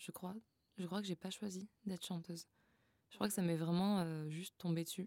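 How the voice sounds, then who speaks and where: The voice moves at a moderate pace with long, frequent pauses, its tone dark and mellow and its intonation flat and monotone. The sound is dry and close, with no echo. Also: woman, medium pitch for a woman. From southern France, Frontignan. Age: 20s. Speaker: singer and vocal coach. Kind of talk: casual interview. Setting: recording studio.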